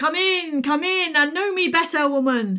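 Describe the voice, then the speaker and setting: A woman performs a put-on character voice in an extremely high pitch at a moderate pace. The recording is very clean with a silent background. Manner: commanding, loud.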